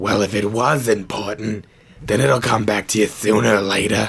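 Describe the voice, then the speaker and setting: Using a raspy put-on character voice, a man talks at a moderate pace and a fairly low pitch. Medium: audio drama. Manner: warm, reassuring.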